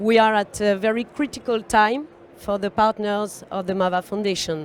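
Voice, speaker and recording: In a French accent, a woman speaks at a moderate pace with a fairly high pitch. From France. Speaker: panel facilitator. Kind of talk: conference panel introduction. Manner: halting, many fillers.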